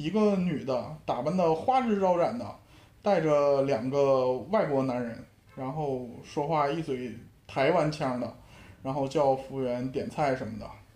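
A man with a Shenyang accent, lively intonation and a fairly slow pace. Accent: Shenyang northeastern accent throughout. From Shenyang, Liaoning, China. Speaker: sports industry worker. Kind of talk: casual chat. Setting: online call.

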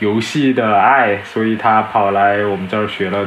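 There is audible room echo and noticeable background noise behind this man. His fairly low voice stays flat and monotone at a moderate pace. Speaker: former student, graduate student. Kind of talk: casual chat. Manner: halting.

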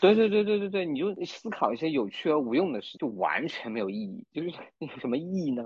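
A man talks at a fairly quick pace and fairly high pitch. His pitch swings very widely. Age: middle-aged. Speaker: new-energy car marketing manager, former theatre writer. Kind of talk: casual chat. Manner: halting, repeats words.

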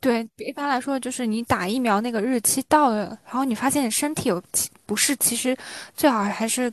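A woman speaks at a moderate pace in a high voice. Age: 20s. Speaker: podcast host. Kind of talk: casual chat.

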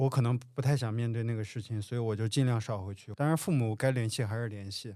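In a very clean recording with a silent background, a man speaks in a medium pitch with a dark, mellow tone. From rural Handan, Hebei. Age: 30s. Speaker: coffee shop owner. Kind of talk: casual chat.

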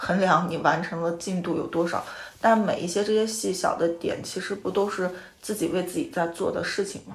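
A woman's medium, somewhat breathy voice at a fairly quick pace, fairly even in intonation, with audible room echo. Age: 30s. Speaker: podcast host. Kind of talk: casual chat. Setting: guests' home.

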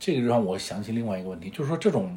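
Lively intonation marks this man's speech. His voice has a somewhat breathy quality. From northern China. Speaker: podcast co-host. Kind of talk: casual chat.

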